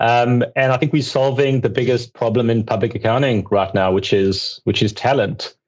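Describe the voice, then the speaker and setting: A man in a South African accent talks at a moderate pace and medium pitch, with hardly any pauses and very even loudness. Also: ordinary pitch variation. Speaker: accounting outsourcing firm founder. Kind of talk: podcast interview.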